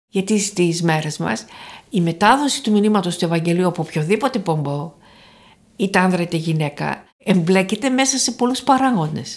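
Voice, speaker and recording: Here a woman has an unremarkable speaking voice at a medium pitch. She talks at a moderate pace with lively intonation. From Thessaloniki, northern Greece. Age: 60s. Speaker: professor emerita of theology. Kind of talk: interview.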